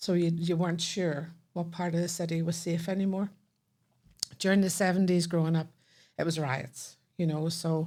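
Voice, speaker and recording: A woman with a Northern Irish accent and a dark, mellow tone, fairly low in pitch, monotone and flat, at a moderate pace with very even loudness and long, frequent pauses. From Northern Ireland, Belfast. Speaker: podcast guest. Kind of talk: casual chat.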